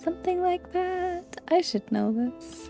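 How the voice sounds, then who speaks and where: A soft-spoken woman's gentle voice over background music. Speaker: gaming video creator. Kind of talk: gentle gameplay commentary. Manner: soft, gentle.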